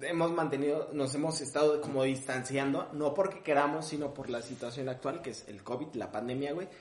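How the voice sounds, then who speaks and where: In a Mexico City accent, a man speaks at a moderate pace with a fairly high pitch, with audible room echo and noticeable background noise. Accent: Mexico City area Mexican Spanish. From Mexico, Ecatepec (State of Mexico). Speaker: comedian. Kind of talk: casual chat.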